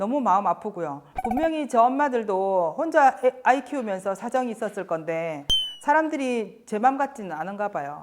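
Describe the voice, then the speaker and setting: Moderate pace from a woman, her fairly high pitch making very wide swings. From Busan, South Korea. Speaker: single mother panelist. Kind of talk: scripted talk show chat.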